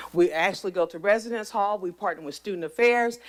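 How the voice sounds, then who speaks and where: A woman at a medium pitch and a fairly quick pace. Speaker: university administrator. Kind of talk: board meeting presentation. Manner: fast.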